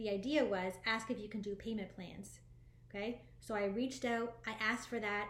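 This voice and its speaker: A woman's fairly high voice, with ordinary pitch variation, carries audible room echo. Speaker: spiritual life coach. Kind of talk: motivational talk to viewers. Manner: fast; animated.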